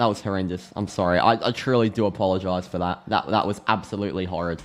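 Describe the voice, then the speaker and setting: This speaker has an Australian accent and an animated tone, and talks at a very fast pace. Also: man. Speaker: football live reaction streamer. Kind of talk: live match reaction.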